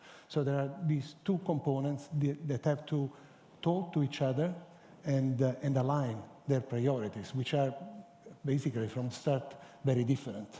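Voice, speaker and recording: Somewhat breathy and dark, mellow in tone, a man with an Italian accent and fairly high pitch speaks at a moderate pace, with very even loudness and fairly even intonation. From Italy. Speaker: cancer center scientific director. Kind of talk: panel discussion. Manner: halting.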